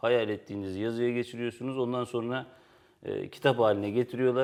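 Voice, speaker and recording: Over a quiet background, a man delivers his words at a very fast pace with a medium pitch, a dark, mellow tone and fairly even intonation. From Turkey. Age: 30s. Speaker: writer and editor. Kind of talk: interview.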